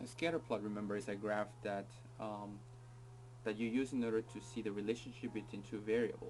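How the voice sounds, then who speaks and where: With music in the background, a man of medium pitch talks at a fairly quick pace with fairly even intonation. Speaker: teacher. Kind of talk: tutorial. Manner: fast; casual, hesitant with fillers.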